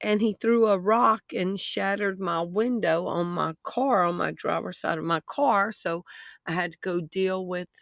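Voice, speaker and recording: In a Southern US accent, a woman with a medium pitch talks at a fairly slow pace with ordinary pitch variation. The sound is dry and close with no echo, a very clean recording with a silent background. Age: 60s. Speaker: online news commentator. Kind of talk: vlog commentary. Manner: rambling, conversational.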